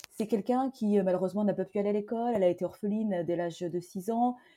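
Speaking at a moderate pace, a woman uses a medium pitch and a dark, mellow tone, with ordinary pitch variation. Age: 40s. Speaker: entrepreneur. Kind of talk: interview conversation.

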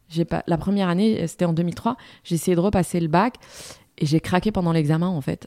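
A woman talks at a fairly quick pace in a fairly low voice with a dark, mellow tone and ordinary pitch variation. The recording is very clean with a silent background, and the sound is dry and close with no echo. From Morocco. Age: 40s. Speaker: TV news presenter and editor. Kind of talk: interview.

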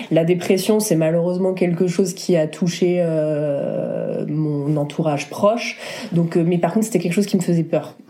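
Amid noticeable background noise, a woman with a fairly low pitch speaks at a moderate pace and very even loudness. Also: fairly even intonation. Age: 30s. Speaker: wedding photographer. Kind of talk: casual chat.

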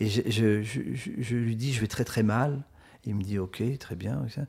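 Fairly slow delivery from a man at medium pitch, dark and mellow in tone, with ordinary pitch variation on a very clean recording with a silent background. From rural France. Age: 50s. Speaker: author. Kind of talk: casual interview. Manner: halting, many repetitions.

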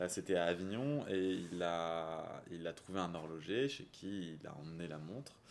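With audible room echo around him, a man talks in a very deep, low pitch, hardly pausing at all. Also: ordinary pitch variation, fairly slow pace. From southern France. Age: 30s. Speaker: watch magazine founder. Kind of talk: interview. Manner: hesitant, many fillers.

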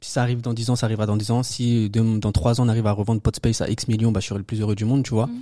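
A man talks at a very fast pace with hardly any pauses, his medium-pitched voice dark and mellow in tone. His intonation is monotone and flat, on a very clean recording with a silent background. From France, Paris suburbs (banlieue). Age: 20s. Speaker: entrepreneur. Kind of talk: casual chat.

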